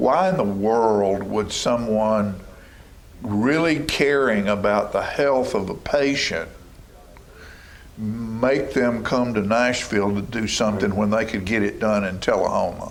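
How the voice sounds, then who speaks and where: Amid audible room echo, a man with a Tennessee accent speaks at medium pitch and a fairly slow pace with ordinary pitch variation. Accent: US Southern (Tennessee). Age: 70s. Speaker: local TV talk show host. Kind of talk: casual interview chat. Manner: animated.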